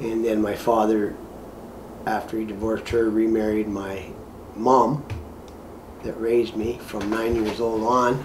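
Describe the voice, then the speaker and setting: A man's medium-pitched voice in a Canadian accent, fairly slow with long, frequent pauses, flat and monotone, amid audible room echo and noticeable background noise. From Ontario, Canada. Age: 60s. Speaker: shelter resident. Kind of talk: testimony; casual chat.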